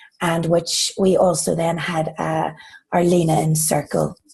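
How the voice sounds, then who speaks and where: A woman's fairly low, monotone voice with flat intonation and vocal fry. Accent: Irish. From Ireland. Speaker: corporate employee, new group member. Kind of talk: casual group video call introduction.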